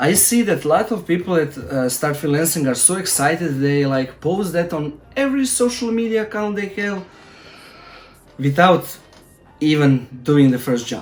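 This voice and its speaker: With music in the background, a man speaks in a Croatian accent at a moderate pace, his fairly high pitch moving in very wide swings. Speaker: freelancer and tutorial YouTuber. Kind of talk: casual advice talk to camera. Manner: halting, with many fillers.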